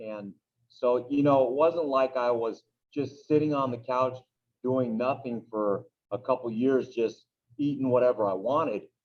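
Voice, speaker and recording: A man delivers his words in an unremarkable speaking voice, keeping a medium pitch, a moderate pace, and fairly even intonation. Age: 40s. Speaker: teacher and youth baseball coach. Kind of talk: interview, personal testimony. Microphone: poor sound quality on his microphone.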